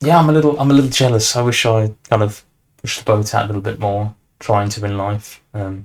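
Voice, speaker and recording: A somewhat breathy man with a fairly low pitch talks at a fairly quick pace, his pitch varying in an ordinary way. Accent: British. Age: young. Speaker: podcast host. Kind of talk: casual chat.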